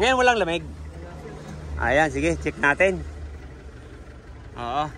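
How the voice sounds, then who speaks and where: A man speaks at a fairly slow pace. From Bulacan, Philippines. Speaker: car aircon mechanic and vlogger. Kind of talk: casual vlog narration while working. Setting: repair shop. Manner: casual, with many fillers.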